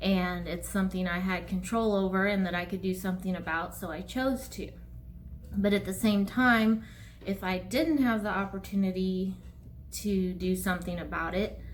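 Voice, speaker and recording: Audible room echo surrounds this recording. The woman talks at a moderate pace. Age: 40s. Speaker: counselor and yoga teacher. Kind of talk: casual talk to camera. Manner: hesitant, with fillers.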